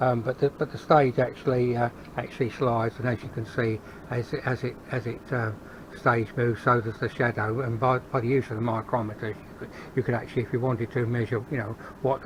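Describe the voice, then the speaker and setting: Medium in pitch and flat in intonation, a man with a London accent speaks at a fairly quick pace in a monotone. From England, London. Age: 70s. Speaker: hobby metalworker YouTuber. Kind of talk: workshop tour. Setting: garage workshop. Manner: halting, many fillers and repeats; casual.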